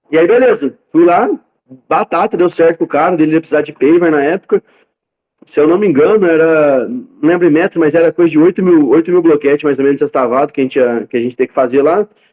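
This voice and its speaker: This man's fairly high voice races at a very fast pace, its pitch varying in an ordinary way. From interior of São Paulo state, Brazil. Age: 20s. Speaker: concrete block factory owner. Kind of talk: interview. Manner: casual, rambling storytelling.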